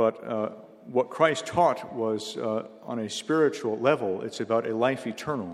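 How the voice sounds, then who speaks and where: Against noticeable background noise, a man at medium pitch talks at a fairly slow pace. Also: ordinary pitch variation. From United States. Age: 50s. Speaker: missionary speaker. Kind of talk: sermon. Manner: short phrases paused for interpreter.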